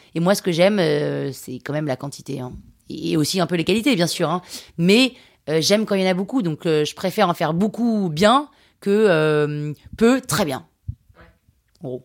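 In a very clean recording with a silent background, a woman speaks at a moderate pace with long, frequent pauses. Her fairly low voice has lively intonation and an animated tone. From France, Limousin. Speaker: podcast producer and artist. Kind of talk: interview.

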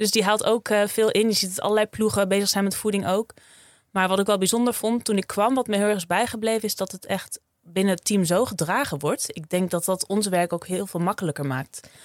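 An ordinary speaking voice at a fairly quick pace, with ordinary pitch variation and a dry, close sound with no echo. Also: woman, medium pitch for a woman. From Friesland, Netherlands. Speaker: sports dietitian. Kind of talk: interview.

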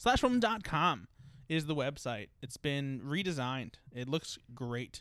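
A man talks at a moderate pace with a fairly high pitch in an ordinary speaking voice. The recording is very clean, with a silent background. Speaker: podcast co-host. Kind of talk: casual chat.

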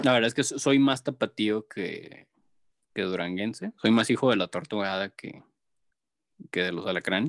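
Recorded very cleanly with a silent background and a dry, close sound with no echo, a man at medium pitch uses lively intonation, big swings in loudness and long, frequent pauses. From Mexico, Jalisco (raised in Guadalajara area, born in Durango). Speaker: graphic artist. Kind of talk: casual chat.

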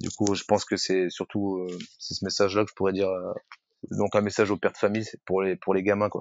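With monotone, flat intonation, a man speaks fairly quickly at a fairly low pitch. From France, Rennes (Brittany). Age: 30s. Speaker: firefighter and CrossFit athlete. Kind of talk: casual interview chat. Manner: hesitant, many fillers.

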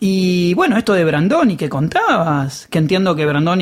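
The speaker talks in a Rioplatense accent. The pace is moderate. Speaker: podcast host. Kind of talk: interview.

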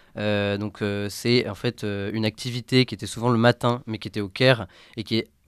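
A man's medium-pitched voice at a moderate pace, fairly even in intonation, dry and close with no echo, on a very clean recording with a silent background. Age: 20s. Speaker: former volunteer, communications student. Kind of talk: testimony. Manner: halting, many hesitations.

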